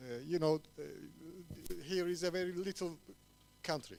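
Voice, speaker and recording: A man with a Turkish accent at a moderate pace, with music in the background. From Cyprus. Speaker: TV show host. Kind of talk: short talk at event. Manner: halting.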